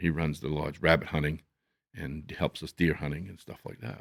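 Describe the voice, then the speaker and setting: With a dry, close sound and no echo, a man speaks in a very deep, low voice marked by vocal fry. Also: very clean recording, silent background. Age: 70s. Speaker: hunting lodge owner and outdoors guide. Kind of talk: casual chat.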